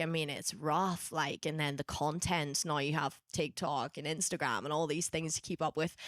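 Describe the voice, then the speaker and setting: Very deep, low pitch from a woman with a Northern Irish accent, at a moderate pace and with fairly even intonation, in a dry, close sound with no echo and a very clean recording against a silent background. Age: 20s. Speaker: gospel singer and worship leader. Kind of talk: casual interview chat.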